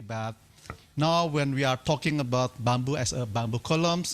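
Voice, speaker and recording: On a very clean recording with a silent background, a man speaks with an Indonesian accent at a fairly quick pace. His pitch is fairly high, with ordinary variation. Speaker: timber engineering researcher. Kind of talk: lecture.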